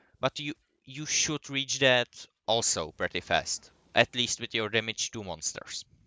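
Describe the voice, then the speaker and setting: In an ordinary speaking voice, a man talks at a fairly slow pace with a medium pitch and ordinary pitch variation. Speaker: gaming guide creator. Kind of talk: tutorial.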